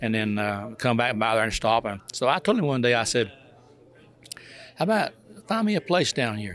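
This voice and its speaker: Speaking with a North Carolina accent, a man talks at a moderate pace and medium pitch. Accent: Southern US, North Carolina. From North Carolina, near Hickory. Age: 80s+. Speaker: retired truck driver. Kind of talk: interview. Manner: halting, repetitive.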